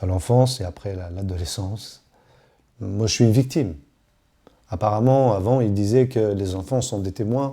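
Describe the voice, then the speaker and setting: Fairly low-pitched and somewhat breathy, a man with a dark, mellow tone speaks at a moderate pace with ordinary pitch variation and long, frequent pauses. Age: 40s. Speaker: witness to domestic violence. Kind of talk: testimony. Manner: halting.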